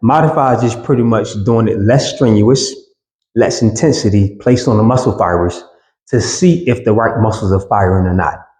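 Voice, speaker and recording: With ordinary pitch variation, a man talks at a moderate pace in a somewhat breathy voice of medium pitch. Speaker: fitness trainer. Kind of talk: tutorial. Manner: casual, conversational.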